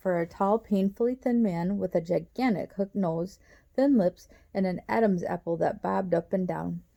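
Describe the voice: Someone does plain reading aloud, and the pitch varies in an ordinary way.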